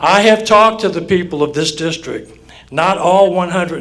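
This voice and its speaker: At a moderate pace, a man with a high pitch and ordinary pitch variation speaks over noticeable background noise. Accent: Southern Louisiana. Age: 60s. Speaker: judicial candidate, lawyer. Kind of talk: campaign speech at candidate forum. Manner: formal.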